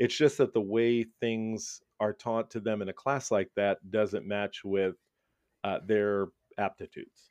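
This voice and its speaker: With an American accent, a man talks at a fairly slow pace in a normal speaking voice, his fairly low pitch held in fairly even intonation. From Brooklyn, New York. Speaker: school principal. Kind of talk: interview.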